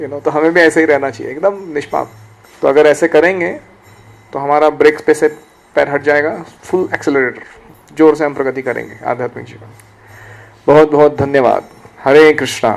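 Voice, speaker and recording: A man speaks with fairly even intonation and big swings in loudness. Long, frequent pauses break up his speech. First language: Marathi (speaking Hindi). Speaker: spiritual teacher. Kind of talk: lecture.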